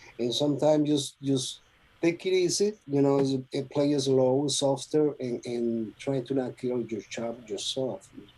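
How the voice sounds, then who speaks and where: This man has a Spanish accent and a dark, mellow tone. He talks at a fairly slow pace with ordinary pitch variation. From Venezuela. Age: 50s. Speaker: trumpet player. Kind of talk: interview. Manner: halting, many repetitions and fillers.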